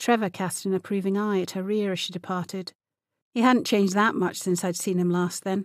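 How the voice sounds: Fairly even intonation from a natural reading voice, with a quiet background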